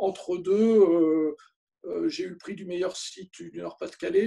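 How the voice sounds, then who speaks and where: A man speaks at a fairly slow pace. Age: 60s. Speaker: photographer. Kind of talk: interview. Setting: video call. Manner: hesitant, many fillers.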